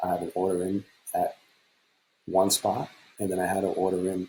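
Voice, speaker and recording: A man speaks quietly. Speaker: futures day trader. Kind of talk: trading recap screen walkthrough. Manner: quiet, low-voiced; casual, rambling.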